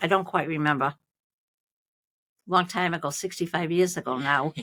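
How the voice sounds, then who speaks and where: A woman with a Boston accent speaks at a moderate pace in a bright, sharp tone, her pitch fairly low and her intonation fairly even. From Malden, Massachusetts. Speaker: retired nurse. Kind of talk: interview answer.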